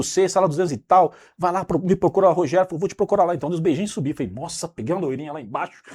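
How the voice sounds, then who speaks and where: Very fast speech with hardly any pauses from a man at a high pitch, dry and close with no echo, on a very clean recording against a silent background. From São Paulo, Brazil. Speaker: business manager telling his life story. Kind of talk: interview storytelling.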